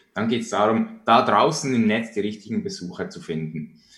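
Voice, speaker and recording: A man speaks at a moderate pace. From Switzerland. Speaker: online marketing entrepreneur. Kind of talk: interview.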